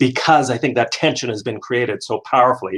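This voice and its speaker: The man speaks at a fairly quick pace. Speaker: professional speaker and author. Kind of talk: interview conversation. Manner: fast-paced; high energy.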